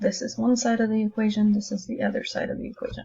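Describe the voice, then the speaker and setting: Fairly quick pace from a woman. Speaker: math teacher. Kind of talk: tutorial. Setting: recorded lesson video. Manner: casual; soft-spoken.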